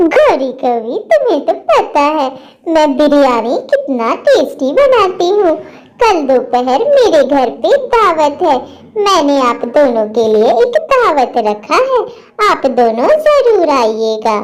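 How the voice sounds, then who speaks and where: A cartoonish character voice drawls at a very slow pace, swinging very widely in pitch while its loudness stays very even. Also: woman, high pitch for a woman. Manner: warm, polite.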